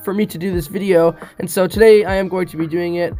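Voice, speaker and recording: Someone talks at a very fast clip while music plays in the background. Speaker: gaming YouTuber. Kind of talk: casual video intro. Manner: hesitant with fillers.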